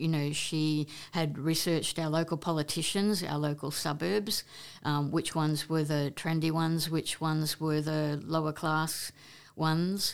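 A woman with an Australian accent, very deep and low in pitch, at a fairly slow pace. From Queensland, Australia (Brisbane, Maryborough). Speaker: photographer and entertainment reporter. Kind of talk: casual interview. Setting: face-to-face recording.

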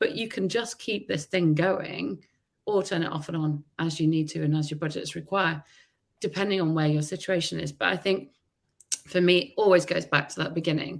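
Using a plain, everyday voice, a woman talks in a fairly low pitch, its variation ordinary. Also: moderate pace. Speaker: marketing executive. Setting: video call.

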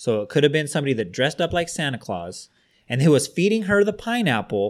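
The recording is very clean with a silent background. A man speaks at a fairly quick pace with a fairly high pitch. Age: 30s. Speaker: podcast co-host. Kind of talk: casual chat.

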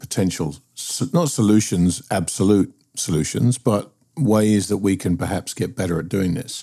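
A man with a British accent talks in a fairly low pitch. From UK. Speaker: podcast host. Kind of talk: casual chat.

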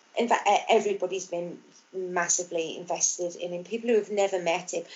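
At a fairly quick pace, a woman with a Birmingham accent speaks with fairly even intonation. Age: 40s. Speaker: mother of a child with Down syndrome. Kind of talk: interview. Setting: video call. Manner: halting.

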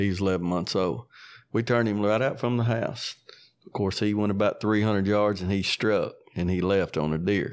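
A man in a West Tennessee accent, fairly even intonation, very clean recording with a silent background. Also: fairly low pitch for a man, moderate pace. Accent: Southern US (West Tennessee). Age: 60s. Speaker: coon hunter and dog breeder. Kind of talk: casual storytelling interview. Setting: in-person interview.

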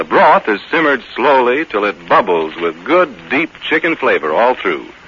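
A man talks at a fairly quick pace with very wide pitch swings against noticeable background noise. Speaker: radio announcer. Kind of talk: sponsor commercial reading. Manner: warm, folksy, persuasive.

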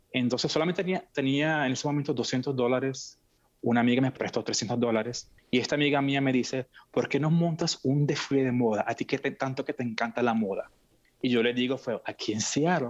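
Talking at a fairly quick pace, a man has an unremarkable speaking voice with medium pitch. His pitch varies ordinarily, and the background is quiet. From Venezuela. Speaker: fashion event producer. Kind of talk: interview.

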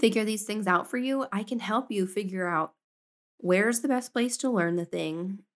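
A woman speaks at a moderate pace with medium pitch, ordinary pitch variation and a plain, everyday voice. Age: 30s. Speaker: homesteading podcast host. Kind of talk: casual monologue.

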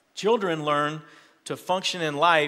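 With an unremarkable speaking voice, a man talks at a moderate pace and a fairly high pitch. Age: 40s. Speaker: pastor. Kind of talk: sermon.

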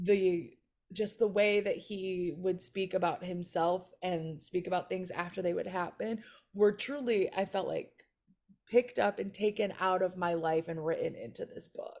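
A woman with an ordinary speaking voice at a medium pitch, ordinary pitch variation and a moderate pace, in a very clean recording with a silent background. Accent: American. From Chicago area, US. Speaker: comedian. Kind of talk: casual chat.

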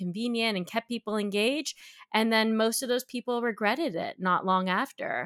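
At a moderate pace, a woman speaks in an ordinary speaking voice with fairly high pitch, the sound dry and close with no echo and the recording very clean against a silent background. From Canada. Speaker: tech nonprofit executive. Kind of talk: interview conversation.

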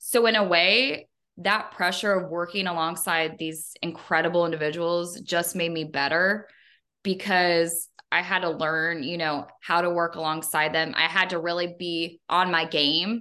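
A fairly low-pitched woman with a bright, sharp tone, fairly even intonation and a fairly slow pace, over a quiet background. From Northern Kentucky. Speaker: Air Force veteran, public relations director. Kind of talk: interview, casual chat.

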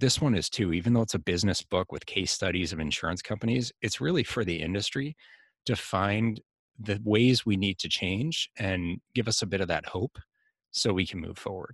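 An ordinary speaking voice at a moderate pace with ordinary pitch variation, in a dry, close recording with no echo and a quiet background. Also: man, fairly low pitch for a man. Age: 40s. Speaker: insurance executive and author. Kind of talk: interview.

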